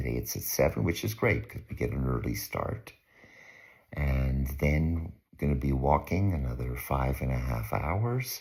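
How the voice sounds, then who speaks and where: Whispering in a Canadian accent, a man speaks at a fairly slow pace, somewhat breathy. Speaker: pilgrimage vlogger. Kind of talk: casual video diary.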